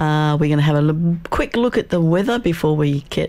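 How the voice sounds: The voice has a dark, mellow tone and moves at a moderate pace.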